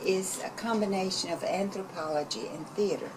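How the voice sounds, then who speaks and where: A woman speaks with a Southern accent at a moderate pace, her pitch medium with ordinary variation. Noticeable background noise runs beneath her. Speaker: community arts organizer. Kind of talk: interview. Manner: hesitant fillers.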